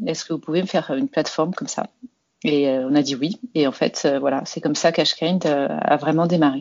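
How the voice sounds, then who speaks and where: A woman with a very deep, low pitch speaks at a fairly quick pace, with ordinary pitch variation. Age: 40s. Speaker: health start-up founder. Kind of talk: interview. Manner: hesitant, many fillers.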